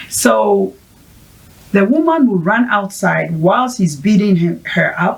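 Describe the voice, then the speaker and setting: Very slowly, a woman speaks at a medium pitch in a somewhat breathy voice, her pitch swinging very widely. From Ghana. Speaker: mental health advocate, founder of women's support project. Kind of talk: interview.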